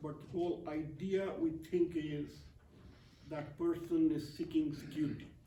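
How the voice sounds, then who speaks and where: A dark, mellow voice at a fairly slow pace with monotone, flat intonation and audible room echo. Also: man. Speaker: poet and translator. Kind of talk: poetry reading with commentary.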